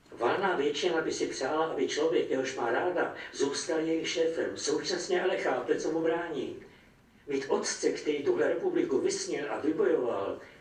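At a moderate pace, a man speaks with audible room echo around him. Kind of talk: literary reading. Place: shop. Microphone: camera far.

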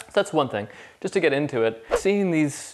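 In a quiet setting, a man is speaking. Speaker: guitar teacher. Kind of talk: tutorial. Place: kitchen.

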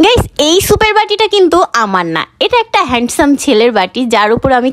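A woman with a high pitch against a quiet background. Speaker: food vlogger. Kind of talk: casual vlog chat. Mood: playful, joking. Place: cafe. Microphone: phone near.

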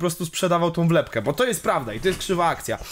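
A man is speaking. His pitch is high. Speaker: podcast co-host. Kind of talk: casual chat.

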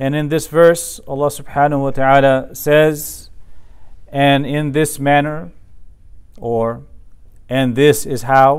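Over a quiet background, a man speaks at a very slow pace with fairly even intonation. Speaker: religious teacher. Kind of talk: lecture. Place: office. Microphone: lapel.

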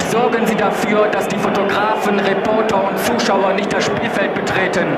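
The talking moves at a moderate pace beneath loud background noise. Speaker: stadium announcer. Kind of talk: stadium PA announcements, lineups, scores and crowd-control appeals. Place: stadium.

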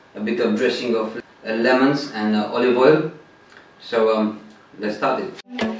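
A man is speaking. Audible room echo and light background noise are present. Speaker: presenter. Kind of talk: cooking tutorial. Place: kitchen.

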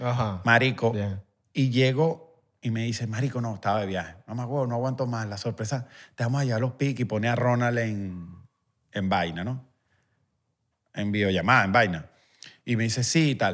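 A man at a moderate pace and medium pitch, with ordinary pitch variation and long, frequent pauses. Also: quiet background. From Venezuela, Guatire (Miranda); Venezuela. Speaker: musician; podcast guest or host. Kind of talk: casual chat. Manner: animated. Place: studio. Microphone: studio mic.

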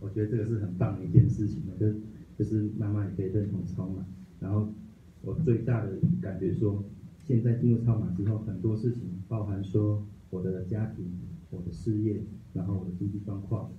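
A man's fairly low, dark, mellow voice, somewhat breathy, at a fairly quick pace with fairly even intonation, light background noise and audible room echo. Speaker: study group member. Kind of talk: reading aloud. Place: meeting room.

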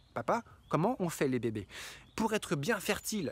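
In an animated tone, a man swings his pitch very widely, the sound dry with no echo and light background noise behind him. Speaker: YouTuber, hiking guide; health vlogger. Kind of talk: humorous vlog monologue. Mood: humorous, playful advice. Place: garden. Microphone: phone near.

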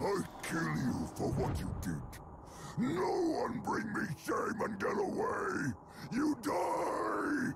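In a put-on character voice, a man speaks very slowly with long, frequent pauses over loud background noise. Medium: dub. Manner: angry, shouting, broken grammar.

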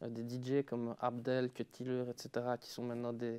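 A man's dark, mellow, medium-pitched voice, monotone and flat, at a fairly slow pace in dry, close sound with no echo. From Belgium, Liège. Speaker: DJ. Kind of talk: casual chat.

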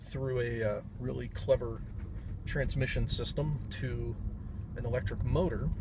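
Fairly slow speech with loud background noise and a dry sound with no echo. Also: man. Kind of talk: casual vlog chat. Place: car. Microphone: phone near.

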